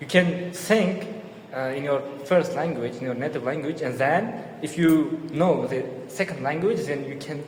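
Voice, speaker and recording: A man with an Uzbek accent and a fairly high pitch, with audible room echo and noticeable background noise. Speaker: podcast co-host. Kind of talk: casual chat.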